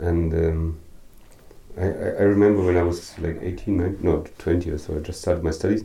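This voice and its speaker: A man's very deep, low voice with a dark, mellow tone, somewhat breathy, at a moderate pace. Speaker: radio host.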